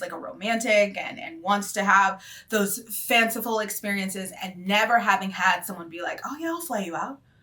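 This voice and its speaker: The raspy, put-on character voice rattles along at a fairly quick pace. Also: woman. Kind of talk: casual confessional vlog. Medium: solo performance. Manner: chatty, rambling, wry.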